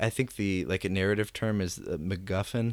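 A man talks at a moderate pace. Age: 20s. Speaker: musician. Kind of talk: casual chat. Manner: halting.

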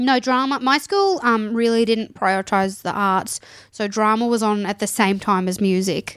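Speaking in an Australian accent, a woman keeps a moderate pace and a fairly high pitch with ordinary pitch variation. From Townsville, Queensland, Australia. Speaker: stand-up comedian. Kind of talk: casual chat.

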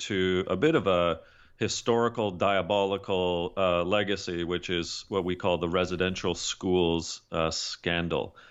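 A man with a Canadian accent has an ordinary speaking voice. He talks at a fairly slow pace with a fairly low pitch and fairly even intonation. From Canada. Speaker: leadership consultant and author. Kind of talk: interview.

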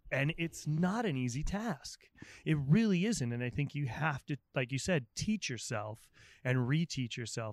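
A man in a plain, everyday voice at a moderate pace, with lively intonation, on a very clean recording with a silent background and a dry, close sound with no echo. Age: 40s. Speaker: chef and podcast host. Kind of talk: casual interview chat. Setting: outdoors.

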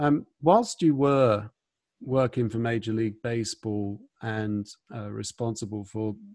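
With a British accent, a man of medium pitch speaks at a moderate pace with fairly even intonation in a dry, close sound with no echo. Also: big swings in loudness. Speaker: podcast host. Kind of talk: casual interview chat.

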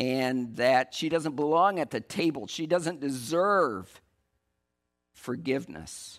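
In a very clean recording with a silent background, a man with an American accent talks at a very slow pace, his fairly high pitch carrying lively intonation. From West Michigan. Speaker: church leader. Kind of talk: sermon. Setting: church.

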